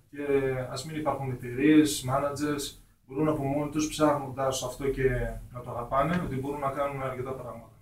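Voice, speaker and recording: With big swings in loudness, a man at a fairly high pitch talks at a moderate pace in a monotone, flat intonation, amid noticeable background noise and audible room echo. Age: 20s. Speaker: hip hop artist. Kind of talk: radio interview. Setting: radio studio.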